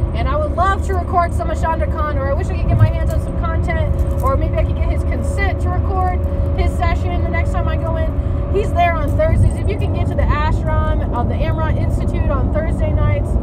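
A woman talks at a fairly quick pace over loud background noise. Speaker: spiritual vlogger. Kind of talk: casual vlog chat. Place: car. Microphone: phone near.

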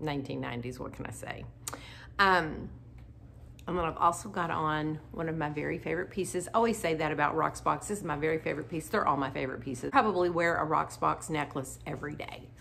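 A woman with a low, fairly bright voice and some vocal fry talks at a fairly quick pace with ordinary pitch variation.

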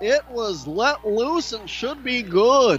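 Over noticeable background noise, a man with an extremely high pitch speaks in an animated tone with lively intonation. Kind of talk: live commentary. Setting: arena broadcast. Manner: fast-paced play-by-play delivery; animated, rising on big shots.

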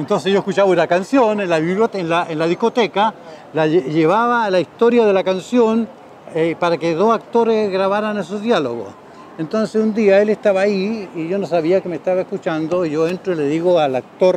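A man talks at a fairly quick pace with a high pitch and ordinary pitch variation. The sound is dry with no echo, and there is light background noise. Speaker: radio and television host, former radio announcer. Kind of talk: interview answer, personal anecdote. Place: street. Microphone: lapel.

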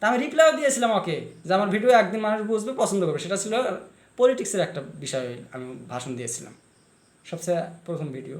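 A man with a high pitch uses an animated tone, very wide pitch swings and big swings in loudness. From Assam, India (Kokrajhar/Goalpara/Barpeta area). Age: 30s. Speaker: video blogger and writer. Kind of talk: monologue rant to camera.

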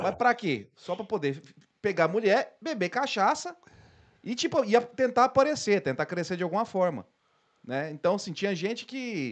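A man with a high voice speaks at a moderate pace, his pitch swinging very widely, over a quiet background. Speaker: podcast host. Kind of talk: casual chat. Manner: casual, slangy. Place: studio. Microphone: studio mic.

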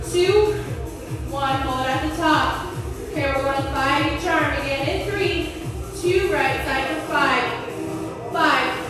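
A woman with a high voice speaks at a very slow pace, with long, frequent pauses and ordinary pitch variation. Strong room echo and clear background music surround her. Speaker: fitness instructor. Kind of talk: workout class cueing. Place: gym.

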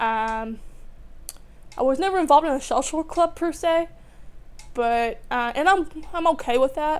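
With lively intonation and a high pitch, a woman speaks at a moderate pace, leaving long, frequent pauses. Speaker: graduate student. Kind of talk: testimony. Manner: halting, many fillers. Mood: warm, reflective. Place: home room.

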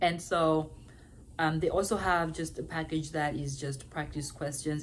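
A woman with an African accent speaks at a very deep, low pitch and a fairly slow pace. Her voice is somewhat breathy, with light background noise behind it. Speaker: nursing student. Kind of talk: advice vlog. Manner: casual, conversational. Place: home room. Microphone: phone near.

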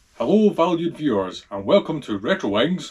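A man's fairly slow delivery in a strong Scottish accent, full of very wide pitch swings. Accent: thick Scottish. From Scotland. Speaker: motorcycle restorer. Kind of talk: casual talk to camera. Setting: workshop. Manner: humorous. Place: workshop. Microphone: camera far.

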